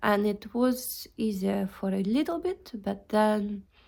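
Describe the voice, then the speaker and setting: A woman with a non-native accent and fairly even intonation. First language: not English. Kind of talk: casual talk to camera. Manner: unscripted, hesitant.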